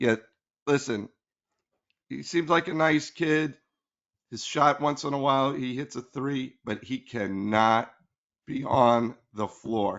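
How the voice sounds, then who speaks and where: Speaking with an American accent, a man uses medium pitch and ordinary pitch variation at a very slow pace with long, frequent pauses. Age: 60s. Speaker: sports podcast co-host. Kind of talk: casual chat.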